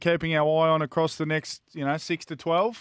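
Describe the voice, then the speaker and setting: A man talks at a moderate pace with an Australian accent. The recording is very clean, with a silent background. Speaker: radio tipster. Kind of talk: racing tips and race previews, with banter.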